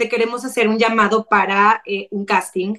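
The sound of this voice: With a raspy, fairly bright voice at medium pitch, a woman speaks at a fairly quick pace with fairly even intonation.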